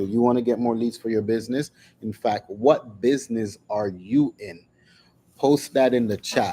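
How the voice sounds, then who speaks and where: A dark, mellow tone with ordinary pitch variation. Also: man. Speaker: business channel host. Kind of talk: live stream talk. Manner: deliberate, not fast.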